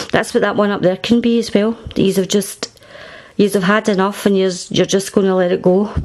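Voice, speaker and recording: There's noticeable noise behind the speaker. She is a woman talking at a moderate speed. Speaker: tarot reader. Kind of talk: tarot reading to camera. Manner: casual, conversational.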